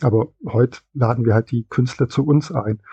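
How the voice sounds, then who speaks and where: The sound is dry and close with no echo as a man speaks in a dark, mellow, somewhat breathy voice with fairly even intonation. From West Germany. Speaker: comic shop employee. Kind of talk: interview.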